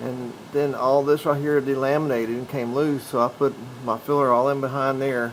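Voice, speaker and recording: Background noise is noticeable behind a man's medium-pitched voice. He speaks in a flat monotone. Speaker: DIY camper builder. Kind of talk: DIY tutorial talk to camera. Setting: noisy camera mic. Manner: slow.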